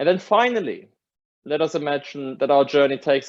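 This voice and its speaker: Fairly high-pitched man with a German accent at a moderate pace. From Germany. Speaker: academic lecturer. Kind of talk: lecture. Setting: video call.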